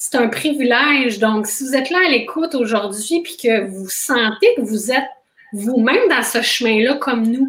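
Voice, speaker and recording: A woman with a high pitch and ordinary pitch variation talks at a fairly slow pace. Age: 40s. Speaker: intimacy coach. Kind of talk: interview.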